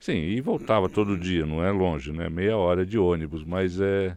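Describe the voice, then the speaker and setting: This man has a very deep, low voice and talks at a fairly slow pace. The background is quiet. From Brazil, São Paulo city. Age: 60s. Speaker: city councillor, politician. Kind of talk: interview.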